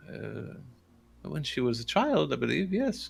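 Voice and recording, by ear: Using a put-on character voice, a man talks slowly at a fairly high pitch with big pitch swings, vocal fry and a slightly husky edge.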